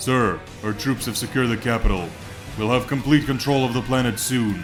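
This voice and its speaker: A man puts on a character voice at a medium pitch and a fairly quick pace. Clear music plays in the background. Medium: read story.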